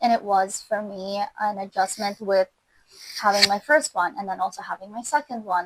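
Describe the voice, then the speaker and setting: A woman with a Russian accent speaks at medium pitch in a dry, close sound with no echo. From Kazakhstan. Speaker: fashion designer. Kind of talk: casual interview. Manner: hesitant, with frequent fillers.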